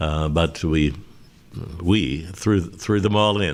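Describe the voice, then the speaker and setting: Very deep and low, the man's voice carries vocal fry and ordinary pitch variation as he speaks at a very slow pace. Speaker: news anchor. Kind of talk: interview answer.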